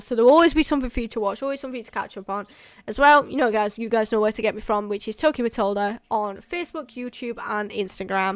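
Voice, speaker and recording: Speaking with a British accent, the woman has a fairly high pitch. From UK. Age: 20s. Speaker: urban exploration youtuber. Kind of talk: livestream chat. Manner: casual, rambling sign-off.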